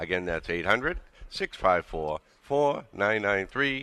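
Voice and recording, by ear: A man's low, bright, sharp voice with lively intonation.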